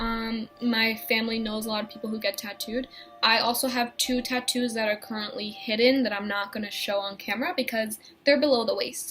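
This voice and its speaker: Music plays in the background as a woman speaks at a fairly quick pace. Her fairly high voice keeps a fairly even intonation. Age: 20s. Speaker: vlogger. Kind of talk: casual chat.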